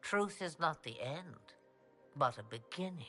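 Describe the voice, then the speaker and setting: Faint music plays in the background behind a put-on character voice pitched in the middle range. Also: moderate pace. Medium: video game. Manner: cryptic, commanding, slow.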